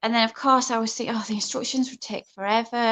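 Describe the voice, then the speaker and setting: A woman with a northern English accent speaks at a fairly high pitch in a monotone, flat intonation, her tone bright and sharp against a quiet background. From northern England. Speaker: craft workshop host. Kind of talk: live stream Q&A chat. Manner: shaky when nervous.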